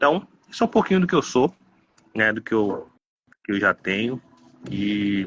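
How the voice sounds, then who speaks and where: Lively intonation in a medium-pitched male voice. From Baixada Santista, São Paulo state, Brazil. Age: 30s. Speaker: pastor. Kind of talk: interview.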